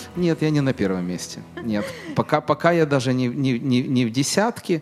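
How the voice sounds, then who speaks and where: The speaker has a normal speaking voice with lively intonation and a moderate pace. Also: man. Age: 40s. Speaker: business owner. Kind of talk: interview. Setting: studio.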